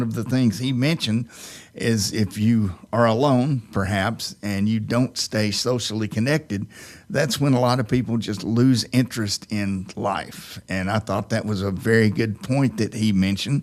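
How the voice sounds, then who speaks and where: In an unremarkable speaking voice at medium pitch, a man talks at a moderate pace with ordinary pitch variation on a very clean recording with a silent background. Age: 60s. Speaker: radio host. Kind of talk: casual chat.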